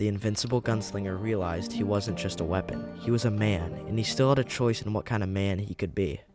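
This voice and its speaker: Music runs in the background. The speaker talks fairly quickly, with pitch varying in an ordinary way. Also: man. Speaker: video essay narrator. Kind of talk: documentary narration.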